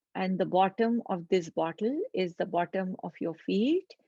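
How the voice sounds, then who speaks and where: Calm and dark, mellow in tone, the voice moves fairly slowly with lively intonation. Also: woman, dry, close sound with no echo. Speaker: meditation guide. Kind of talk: guided meditation. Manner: slow, calm.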